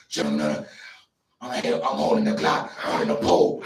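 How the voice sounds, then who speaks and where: Doing a put-on character voice, a man speaks at a medium pitch and moderate pace with a slight echo. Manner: menacing, exaggerated.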